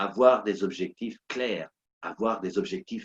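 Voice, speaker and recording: A man with lively intonation, in a dry, close sound with no echo. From Portuguese-speaking country. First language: Portuguese (speaking French). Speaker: motivational coach and speaker. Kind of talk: motivational talk. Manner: animated, repetitive emphasis.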